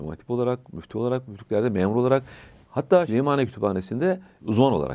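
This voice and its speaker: At a very fast pace, a man speaks with a dark, mellow tone. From Bulgaria, Tırnava region; Bulgaria. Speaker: religious scholar; interview guest. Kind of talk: casual chat. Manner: halting. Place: studio. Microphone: lapel.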